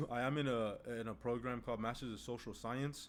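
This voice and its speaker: This is a man speaking. He has a Spanish accent. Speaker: medical student streamer. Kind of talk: live stream chat. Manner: casual, filler-heavy.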